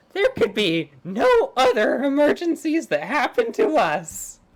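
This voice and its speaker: A female-sounding voice puts on a character voice, high in pitch. The delivery is fairly slow. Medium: actual play.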